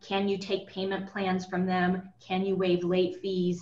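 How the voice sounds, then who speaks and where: A woman at a moderate pace with medium pitch and a normal speaking voice. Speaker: lawyer. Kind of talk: webinar presentation. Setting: webinar.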